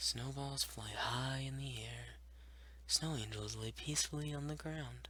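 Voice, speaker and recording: Here a man is talking. His pace is very slow. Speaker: ASMR creator. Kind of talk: ASMR poetry reading. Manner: whispered, soft-spoken.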